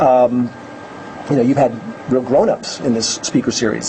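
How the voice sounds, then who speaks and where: Medium in pitch, a man speaks with an American accent at a fairly quick pace. Noticeable background noise is present. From New York. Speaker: education advocate, former teacher. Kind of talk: lecture. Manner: loud; fast.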